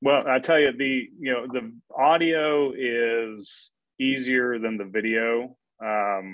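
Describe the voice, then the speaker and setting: Speaking at a very slow pace, a man keeps to a medium pitch. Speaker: podcaster, guest speaker. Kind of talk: webinar presentation. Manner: monotone.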